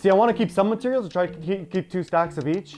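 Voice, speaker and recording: With a Canadian accent, the speaker goes at a very fast pace while music plays in the background. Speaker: gaming YouTuber. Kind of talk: gameplay tutorial commentary. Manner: halting with fillers.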